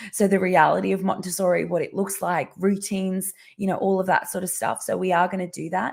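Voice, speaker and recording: With an Australian accent, a woman talks fairly quickly at a medium pitch, with hardly any pauses. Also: fairly even intonation. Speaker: parenting educator. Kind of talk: live stream talk. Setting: live video stream. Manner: halting, many fillers.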